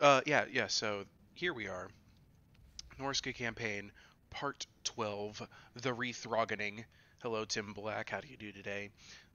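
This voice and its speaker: In a plain, everyday voice, a man speaks at a fairly slow pace, his medium pitch held in fairly even intonation. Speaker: video game streamer. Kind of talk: live gameplay stream commentary.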